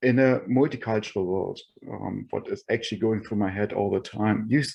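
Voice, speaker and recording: His dark, mellow voice sits at a medium pitch with ordinary pitch variation. The man has a non-native accent and talks at a moderate pace. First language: not English. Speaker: roundtable participant, tech executive. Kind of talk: online roundtable discussion. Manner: halting, many fillers.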